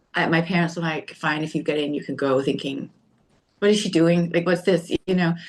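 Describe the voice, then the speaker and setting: A woman talks at a fairly quick pace with a Danish accent. Her pitch is fairly low and her intonation fairly even. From Denmark. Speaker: podcast guest, storyteller. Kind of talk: casual interview chat. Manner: halting, many fillers.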